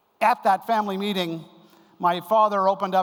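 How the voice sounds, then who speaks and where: There is noticeable background noise as a man with a Canadian accent speaks at a very fast pace. His pitch is high, with fairly even intonation. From Canada. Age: 60s. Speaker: keynote speaker on family business. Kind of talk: conference lecture. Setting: stage with audience.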